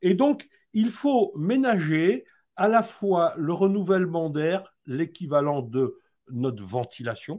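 A high-pitched man at a very slow pace, very wide pitch swings, quiet background. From Haute-Savoie, France. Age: old. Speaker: building health expert; interview guest. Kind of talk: live-streamed interview. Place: home room.

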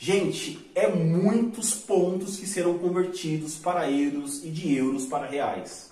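A man's high voice in a Brazilian accent, at a very slow pace with ordinary pitch variation and noticeable background noise. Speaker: online money-making youtuber. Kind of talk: sales pitch; screen-share tutorial.

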